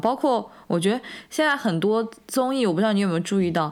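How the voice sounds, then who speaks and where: Lively intonation marks a woman speaking at a very fast pace. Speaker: podcast co-host. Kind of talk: casual chat.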